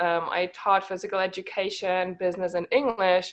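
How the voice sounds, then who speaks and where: A woman with a German accent talks at a medium pitch. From Germany. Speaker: network marketing team leader, former teacher. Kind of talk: online team call talk. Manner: occasional pauses to think.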